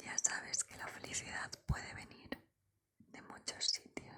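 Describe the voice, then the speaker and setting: A woman whispers at a very slow pace. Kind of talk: ASMR personal attention roleplay. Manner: whispered; soft-spoken, caring.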